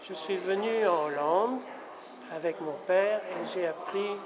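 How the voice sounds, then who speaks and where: Against noticeable background noise and audible room echo, a man with a high pitch for a man speaks at a very slow pace with fairly even intonation. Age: 70s. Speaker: son of a famous painter. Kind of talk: interview. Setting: museum. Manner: halting.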